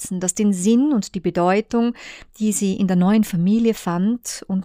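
Someone reads aloud. It is a natural voice.

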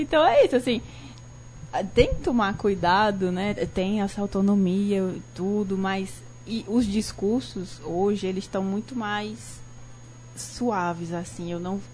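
At a very slow pace, a woman speaks in a somewhat breathy voice with long, frequent pauses. Her pitch varies in an ordinary way. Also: medium pitch for a woman. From Brazil, Ceará (Cariri region, Barbalha). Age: 30s. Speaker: designer and law student. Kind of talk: radio talk show interview. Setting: radio studio, live broadcast.

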